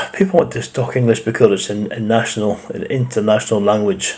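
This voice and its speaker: A man with a Scottish accent talks at a moderate pace with lively intonation. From Scotland. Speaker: reaction video host. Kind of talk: reaction commentary.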